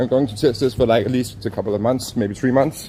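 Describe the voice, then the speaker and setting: In a Danish accent, a man speaks with fairly even intonation over noticeable background noise. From Denmark. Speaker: walking travel streamer. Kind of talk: live stream chat. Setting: outdoors, walking.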